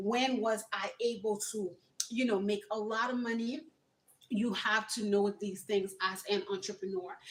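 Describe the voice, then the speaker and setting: Here is a woman with a plain, everyday voice at a fairly high pitch. She speaks at a moderate pace with fairly even intonation. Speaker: entrepreneur and youth mentor livestreamer. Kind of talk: motivational livestream talk.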